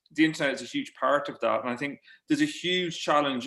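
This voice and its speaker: A man with an Irish accent and a bright, sharp tone races along at a very fast pace in a fairly high pitch. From Ireland, midlands. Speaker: journalist and author. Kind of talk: panel discussion webinar. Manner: halting, many repetitions.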